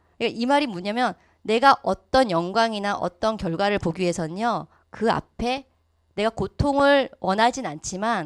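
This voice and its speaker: The intonation is lively, and the very clean recording has a silent background and a dry, close sound with no echo. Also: woman. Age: 40s. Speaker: network marketing business speaker. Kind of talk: motivational lecture. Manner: fast.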